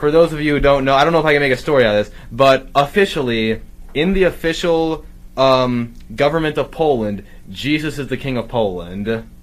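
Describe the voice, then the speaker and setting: This man speaks at a fairly quick pace with a fairly high pitch. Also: ordinary pitch variation. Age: 30s. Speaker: podcaster. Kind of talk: casual chat.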